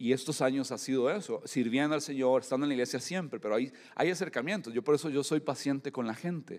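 On a very clean recording with a silent background, a man speaks very fast with hardly any pauses, his fairly high pitch showing ordinary variation. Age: 40s. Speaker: pastor. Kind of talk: sermon. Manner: halting.

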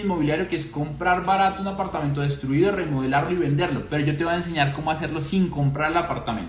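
Over noticeable background noise and audible room echo, a man talks at a very fast pace in an animated tone with ordinary pitch variation. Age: 30s. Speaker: finance podcast host. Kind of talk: casual monologue.

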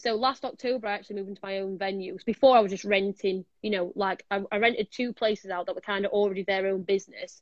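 A woman with a Yorkshire accent talks very fast. Her intonation is fairly even. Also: medium pitch for a woman. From Sheffield, Yorkshire, northern England. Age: 20s. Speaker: martial arts instructor. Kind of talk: casual chat. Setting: online live stream.

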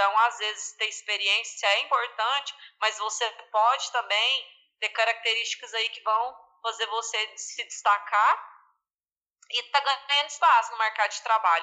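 A woman's normal speaking voice, fairly high in pitch, fairly slow, with fairly even intonation. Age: 20s. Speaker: finance manager at an agricultural cooperative. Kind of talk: casual interview.

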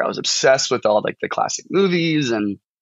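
The speaker talks with a St. Louis accent. The pace is fairly quick. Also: man. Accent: Midwestern American (St. Louis). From US Midwest, St. Charles, Missouri (St. Louis suburbs). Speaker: fiction writer, MFA student. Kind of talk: casual interview chat.

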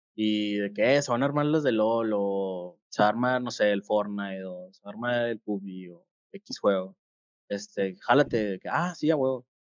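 A man with a Mexican accent at a very slow pace. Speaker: gaming podcast co-host and game coach. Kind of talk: casual chat. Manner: halting, many repetitions and fillers.

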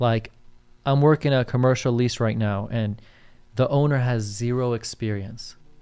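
A man speaks with a dark, mellow tone. His pace is moderate and his intonation fairly even. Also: medium pitch for a man, very clean recording, silent background. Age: 20s. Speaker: real estate agent and podcast co-host. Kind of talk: casual chat.

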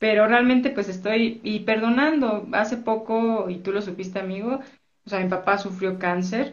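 Audible room echo hangs around the voice. The delivery keeps a moderate pace, and the pitch varies in an ordinary way. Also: woman, fairly high pitch for a woman. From Mexico City. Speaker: entrepreneur. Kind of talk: interview.

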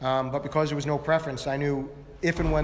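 A man with an American accent talks at a very fast pace in a monotone, flat intonation, with audible room echo and noticeable background noise. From Long Island, New York. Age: 50s. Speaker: tech entrepreneur. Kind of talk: onstage interview.

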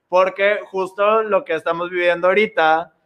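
A man's pitch varies in an ordinary way as he talks fairly slowly. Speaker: comedian. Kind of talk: casual chat.

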